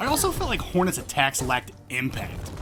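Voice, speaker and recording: Fairly quick speech with music in the background. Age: 40s. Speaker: video game reviewer. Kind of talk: scripted narration. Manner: animated.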